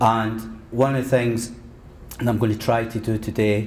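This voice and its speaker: A man with a Scottish accent, medium pitch, monotone delivery and moderate pace, in a room with audible echo. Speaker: history lecturer. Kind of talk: lecture.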